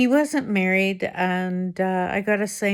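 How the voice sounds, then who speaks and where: Very slowly, a woman speaks at a medium pitch. The recording is very clean, with a silent background. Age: 70s. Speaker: senior lifestyle vlogger. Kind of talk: personal testimony to camera. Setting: home living room. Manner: halting, with fillers.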